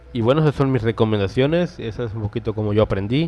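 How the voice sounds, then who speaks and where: Music behind a male voice pitched in the middle range. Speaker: podcast host, game developer. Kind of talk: casual tutorial monologue. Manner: fast; animated.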